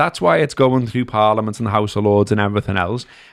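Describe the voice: Vocal fry runs through a man's voice on a very clean recording with a silent background.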